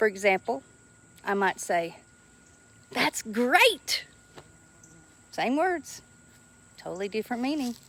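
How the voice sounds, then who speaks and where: Amid noticeable background noise, a woman with a Southern US accent speaks at a fairly slow pace and a fairly high pitch, her tone animated, with very wide pitch swings and long, frequent pauses. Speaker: social skills teacher. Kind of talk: educational talk to camera.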